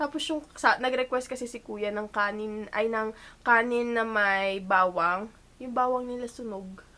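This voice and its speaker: A woman with a fairly high pitch speaks at a fairly slow pace in a bright, sharp tone, with ordinary pitch variation and big swings in loudness. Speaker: vlogger. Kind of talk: casual vlog talk to camera. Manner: chatty, informal.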